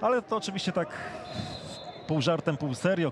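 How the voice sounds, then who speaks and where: A man's animated tone over noticeable background noise. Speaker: football commentator. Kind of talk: live football commentary. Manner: animated, announcing goals emphatically.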